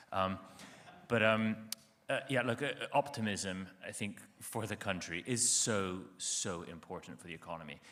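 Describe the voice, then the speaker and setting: A man with an American accent speaks in a fairly low pitch with a bright, sharp tone, ordinary pitch variation and long, frequent pauses. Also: moderate pace. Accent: sounds American. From Italy, international school. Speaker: energy company executive. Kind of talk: panel discussion. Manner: halting, stammering starts.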